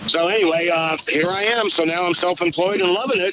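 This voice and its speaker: Over noticeable background noise, a man talks at a very fast pace and a high pitch. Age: 60s. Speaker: musician turned sales rep. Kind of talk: casual chat.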